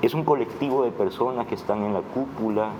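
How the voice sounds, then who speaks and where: A man speaks over noticeable background noise. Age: 60s. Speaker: writer and political analyst. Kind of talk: interview.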